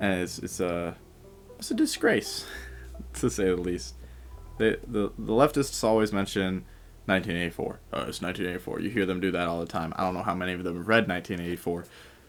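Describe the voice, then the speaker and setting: A quiet man, very deep and low in pitch, at a fairly quick pace with ordinary pitch variation, music in the background. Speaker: podcast host. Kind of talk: casual book-reading podcast chat. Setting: home recording at night. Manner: hushed, quiet.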